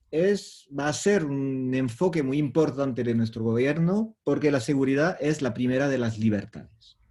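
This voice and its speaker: Speaking with a non-native accent, a man uses a dark, mellow tone, fairly high pitch and lively intonation at a fairly slow pace. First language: French (speaking Spanish). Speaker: professor. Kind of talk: lecture. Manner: halting.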